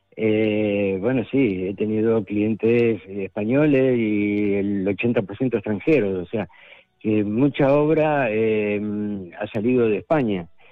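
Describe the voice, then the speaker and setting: A man with a fairly low voice speaks very slowly, his pitch shifting by an ordinary amount. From Argentina. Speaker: artist. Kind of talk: radio interview.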